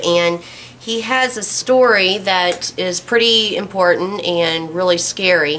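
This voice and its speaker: Very slowly, a woman speaks at a medium pitch that varies in an ordinary way, with noticeable background noise present. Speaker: prepper channel host. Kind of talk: casual talk to camera.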